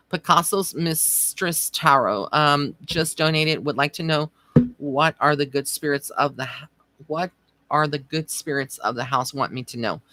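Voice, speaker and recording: A woman's very deep, low-pitched voice, bright and sharp in tone, with fairly even intonation. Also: moderate pace, dry, close sound with no echo. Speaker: psychic medium. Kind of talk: live stream psychic reading. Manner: casual, conversational.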